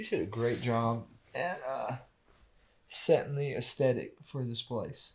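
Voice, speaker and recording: Speaking in a Southern US accent at a fairly slow pace, the voice leaves long, frequent pauses. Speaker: podcast co-host. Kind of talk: casual podcast conversation.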